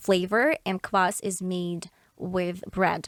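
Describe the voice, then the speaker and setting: A woman in a Russian accent speaks at a medium pitch, the sound dry and close with no echo. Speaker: podcaster. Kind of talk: casual chat. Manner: halting.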